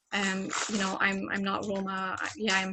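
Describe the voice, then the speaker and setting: A woman speaks with an Irish accent. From Ireland. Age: 20s. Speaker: community member on panel. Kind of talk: panel discussion.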